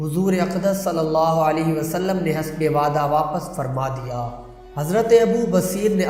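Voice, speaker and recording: A man talks high in pitch as noticeable noise carries on in the background. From Pakistan. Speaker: voice over artist. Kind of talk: religious history story narration.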